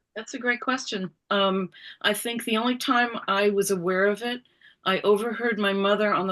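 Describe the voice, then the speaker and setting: A woman with an American accent uses an ordinary speaking voice at medium pitch and moderate pace, her intonation fairly even, against a quiet background. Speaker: author. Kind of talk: interview. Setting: video call.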